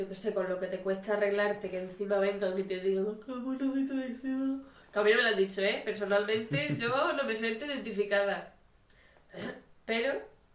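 A woman talks with ordinary pitch variation. Noticeable background noise runs underneath. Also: medium pitch for a woman, moderate pace. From Spain. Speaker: amateur podcast co-host. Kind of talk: casual chat.

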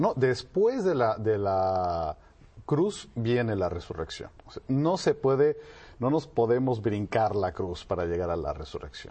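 A man's somewhat breathy, medium-pitched voice at a fairly slow pace, with very wide pitch swings. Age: 40s. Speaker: business ethics expert. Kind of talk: talk show interview.

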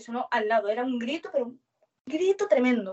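This woman talks at a fairly quick pace with a fairly high pitch. Her intonation is lively. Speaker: witness. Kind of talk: testimony.

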